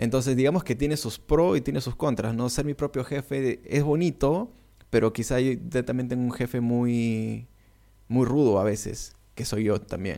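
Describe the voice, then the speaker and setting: In a very clean recording with a silent background, a man with an unremarkable speaking voice talks at medium pitch and a moderate pace with ordinary pitch variation. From Peru. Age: 30s. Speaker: content creator and university lecturer. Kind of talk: casual interview.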